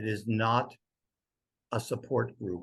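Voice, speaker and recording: Speaking at a very slow pace, a man with a fairly low pitch uses vocal fry. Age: 70s. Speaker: poet. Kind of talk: interview conversation. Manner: halting.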